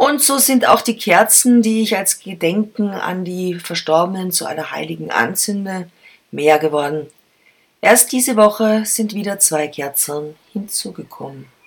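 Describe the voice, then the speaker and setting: At a fairly slow pace, a plain, everyday voice speaks with lively intonation. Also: woman, medium pitch for a woman. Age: 50s. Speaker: podcast host and columnist. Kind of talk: personal essay reading.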